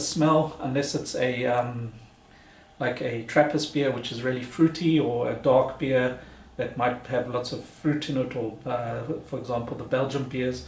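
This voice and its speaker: Audible room echo surrounds a man's voice. He speaks at a moderate pace with monotone, flat intonation. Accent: non-native. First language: not German. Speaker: beer reviewer, video blogger. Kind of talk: casual product review. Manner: halting, many fillers and repeats.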